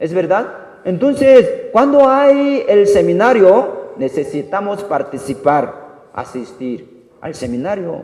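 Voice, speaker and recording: A man speaks at a very slow pace in a high pitch with very wide pitch swings. Noticeable background noise and audible room echo fill the recording. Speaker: pastor. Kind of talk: sermon.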